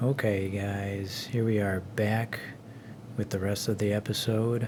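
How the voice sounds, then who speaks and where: Quietly, a man with a fairly low pitch speaks at a very slow pace. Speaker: retro gaming youtuber. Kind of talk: casual video review. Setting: hotel room. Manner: quiet, keeping voice down.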